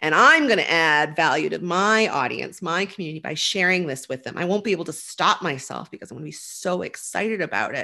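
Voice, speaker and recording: A woman talks at a fairly quick pace with hardly any pauses, her tone bright and sharp with vocal fry. Her intonation is lively, and the background is quiet. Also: big swings in loudness. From Nova Scotia, Canada. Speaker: digital marketer, former film producer. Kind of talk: interview conversation.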